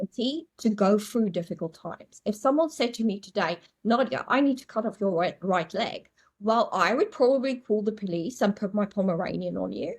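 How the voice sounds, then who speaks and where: Her voice fairly high and somewhat breathy, a woman speaks in an animated tone with lively intonation. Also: fairly quick pace. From South Africa, small town. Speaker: astrologer. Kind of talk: podcast interview.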